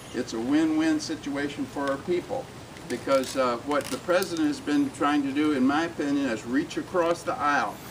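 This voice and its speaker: A man's fairly high voice, with an American accent, is heard against noticeable background noise. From US South, Alabama. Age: 70s. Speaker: civil rights activist. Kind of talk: public speech. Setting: community event with audience.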